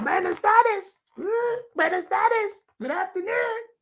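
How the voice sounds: An extremely high, put-on character voice at a fairly slow pace.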